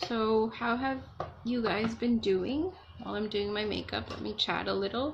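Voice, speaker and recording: Soft-spoken and fairly high in pitch, a woman talks at a moderate pace with ordinary pitch variation over noticeable background noise. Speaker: beauty vlogger. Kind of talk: casual makeup tutorial chat. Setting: at home alone. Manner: quiet, soft-spoken.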